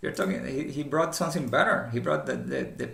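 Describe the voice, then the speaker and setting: With audible room echo and noticeable background noise around him, a man delivers his words at a very fast pace. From former communist country. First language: not English. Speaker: commentator. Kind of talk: casual commentary monologue. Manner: halting, many fillers and repetitions.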